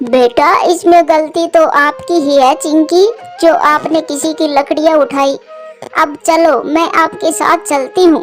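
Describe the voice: A woman does a cartoonish character voice at an extremely high pitch and fairly slow pace. Clear music plays in the background.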